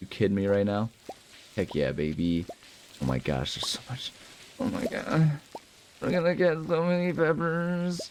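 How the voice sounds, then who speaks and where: A man speaks in an animated tone at a moderate pace, with long, frequent pauses over noticeable background noise. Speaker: let's play gamer. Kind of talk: casual gameplay commentary.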